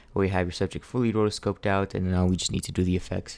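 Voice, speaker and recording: A man is heard on a very clean recording, the background completely silent. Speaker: video editing tutorial creator. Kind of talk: tutorial. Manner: fast; casual, some hesitations.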